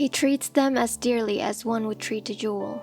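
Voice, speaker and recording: Music plays in the background as a woman speaks at a moderate pace. Her voice is fairly high-pitched with fairly even intonation. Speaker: storyteller. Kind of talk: fantasy novel narration.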